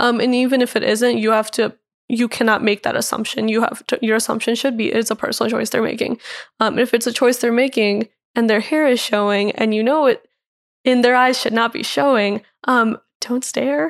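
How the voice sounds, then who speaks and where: The speaker has an American accent and a fairly quick pace with fairly even intonation. The recording is very clean, with a silent background. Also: woman, fairly high pitch for a woman. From St. Louis, Missouri, US Midwest. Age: young. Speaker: college student activist. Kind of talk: interview. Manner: hesitant, many filler ums.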